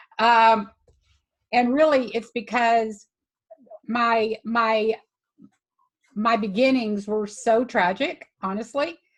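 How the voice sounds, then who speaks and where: A woman with an American accent and a fairly high pitch, at a very slow pace with long, frequent pauses and fairly even intonation. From Texas, Houston area (Jacinto City). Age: 60s. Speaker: animal sanctuary founder and advocate. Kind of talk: personal testimony in online group conversation. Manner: halting, many fillers.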